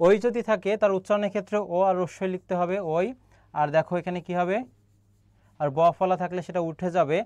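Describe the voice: A man's high-pitched voice comes through with a slightly mellow tone. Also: fairly even intonation, moderate pace.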